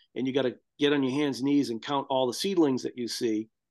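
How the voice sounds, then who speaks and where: A man with an American accent, a normal speaking voice at fairly high pitch, fairly even intonation, and a quiet background. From US, Boston suburbs, Massachusetts. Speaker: farmer and tree crop breeder. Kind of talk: casual interview.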